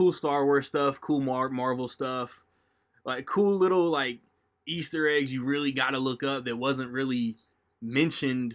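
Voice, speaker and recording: In a very clean recording with a silent background, a man with a normal speaking voice talks at a medium pitch with fairly even intonation. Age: 30s. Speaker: podcast host. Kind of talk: casual chat.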